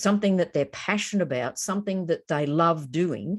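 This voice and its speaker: A woman with an Australian accent, fairly low in pitch, lively in intonation, over a quiet background. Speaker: educator presenting an online course. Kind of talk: webinar presentation. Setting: online webinar.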